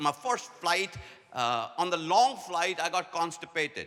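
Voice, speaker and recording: With music in the background, a man speaks in a high voice at a fairly slow pace with lively intonation. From India. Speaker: leadership speaker. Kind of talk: conference talk. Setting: stage with audience.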